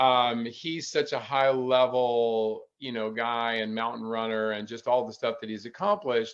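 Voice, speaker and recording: With an unremarkable speaking voice, a man talks at a moderate pace in a medium pitch, with fairly even intonation and hardly any pauses. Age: 60s. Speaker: ultrarunner. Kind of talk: casual chat.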